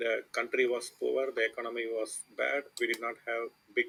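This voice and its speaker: This man speaks with an Indian accent. His pace is fairly slow. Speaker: chess coach. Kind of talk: lecture. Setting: online voice chat.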